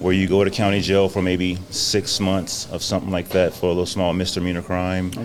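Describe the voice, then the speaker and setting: Hardly pausing, a man with an American accent and a very deep, low pitch speaks at a fairly quick pace in a monotone, flat intonation over noticeable background noise. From Louisiana, then southern California from age 13. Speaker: coffee shop business owner. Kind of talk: podcast interview, personal testimony. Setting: on-site at a coffee shop lounge. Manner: polite, relaxed.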